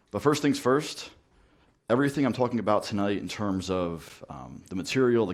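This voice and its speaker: A man's fairly low voice with a New Jersey accent, ordinary pitch variation and a fairly quick pace. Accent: New Jersey American. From US, New Jersey. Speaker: network automation trainer. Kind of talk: technical talk. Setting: meetup talk with audience.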